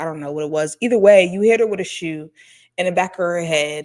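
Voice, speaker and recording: A woman's medium-pitched voice is captured on a very clean recording with a silent background. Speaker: YouTube reaction commentator. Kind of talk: reaction commentary.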